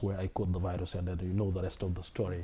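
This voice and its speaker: A dark, mellow, somewhat breathy voice goes at a very fast pace in a very clean recording with a silent background. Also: man. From Senegal. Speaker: Islamic studies scholar. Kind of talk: interview.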